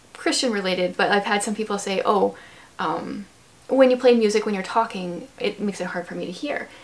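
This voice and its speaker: In a Canadian accent, a woman talks at a fairly quick pace with medium pitch and ordinary pitch variation. Noticeable background noise runs beneath her voice. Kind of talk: casual chat. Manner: fast.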